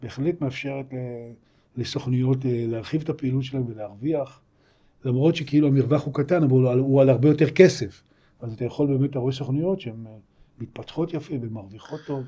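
The speech runs at a fairly quick pace, somewhat breathy, with ordinary pitch variation. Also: man, medium pitch for a man. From Israel, Hefer Valley moshav. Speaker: insurance agency founder and investor. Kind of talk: interview conversation.

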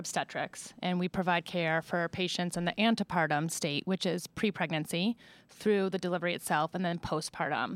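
In a normal speaking voice of medium pitch, a woman talks at a moderate pace, with a dry, close sound with no echo on a very clean recording with a silent background. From Buffalo, New York. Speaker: OB-GYN physician. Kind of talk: interview.

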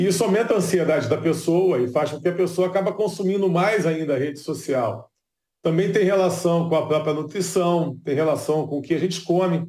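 A man with a high voice and a dark, mellow tone talks at a fairly quick pace, with ordinary pitch variation. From Brazil, Rio de Janeiro. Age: 40s. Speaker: neuroscientist. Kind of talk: interview.

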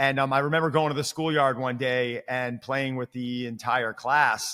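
In a normal speaking voice, a man talks at a moderate pace with a medium pitch and fairly even intonation. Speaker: fitness coach. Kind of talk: casual interview.

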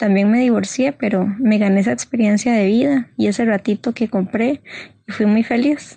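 Somewhat breathy and dark, mellow in tone, a woman speaks at a fairly high pitch and moderate pace, with fairly even intonation and very even loudness, in a dry, close sound with no echo. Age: 20s. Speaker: guest sharing mental health story. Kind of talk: personal testimony.

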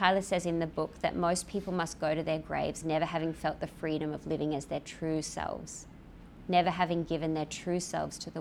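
Her intonation monotone and flat, a woman speaks with a very deep, low pitch and vocal fry. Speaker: lawyer and church speaker. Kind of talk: sermon, then hushed fervent prayer. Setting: church with live congregation. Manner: soft, earnest, reverent; casual, self-deprecating, humorous.

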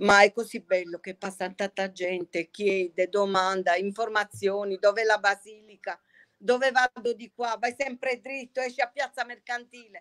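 At a moderate pace, a woman with a normal speaking voice talks at a medium pitch with ordinary pitch variation and big swings in loudness, the sound dry and close with no echo. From Bari, Puglia (old town). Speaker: pasta maker. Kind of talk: casual chat.

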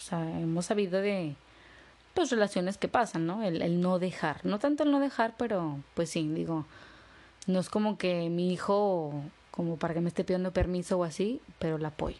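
Her voice is fairly low and has a dark, mellow tone as this woman speaks at a moderate pace with ordinary pitch variation. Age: 30s. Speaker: podcast co-host. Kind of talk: casual chat.

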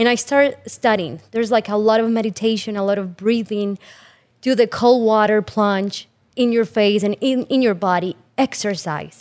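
In an ordinary speaking voice, a woman talks at a moderate pace with fairly high pitch and ordinary pitch variation. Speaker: certified health coach. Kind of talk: sponsor segment, casual health talk.

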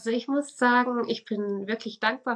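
A woman's normal speaking voice, fairly high in pitch, with fairly even intonation at a moderate pace. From Switzerland. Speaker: religious educator and spiritual coach. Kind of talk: casual interview.

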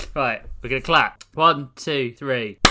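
A man talks at a medium pitch against noticeable background noise. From southeast London. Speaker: podcast co-host. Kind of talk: casual chat.

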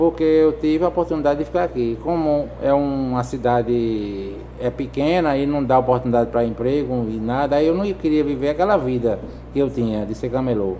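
A man talks at a fairly quick pace with a medium pitch and ordinary pitch variation. Noticeable background noise is present. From Brazilian Northeast, Juazeiro do Norte, Ceará. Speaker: vehicle sticker installer. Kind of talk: casual interview. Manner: halting, repeats words.

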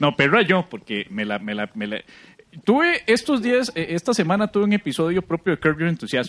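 A high-pitched man at a moderate pace, with very wide pitch swings, big swings in loudness and a dry, close sound with no echo. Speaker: podcast co-host, comedian. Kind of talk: casual comedic chat.

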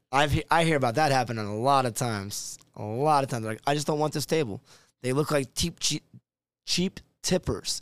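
A fairly high-pitched man with an American accent at a fairly quick pace, ordinary pitch variation, a very clean recording with a silent background and a dry, close sound with no echo. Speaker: line cook. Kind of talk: casual chat. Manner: fast.

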